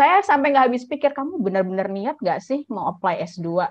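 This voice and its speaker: A woman keeps a moderate pace, with a quiet background behind her. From Indonesia. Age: young. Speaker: scholarship alumna speaker; speaker. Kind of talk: presentation. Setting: video call. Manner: casual and chatty. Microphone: video call.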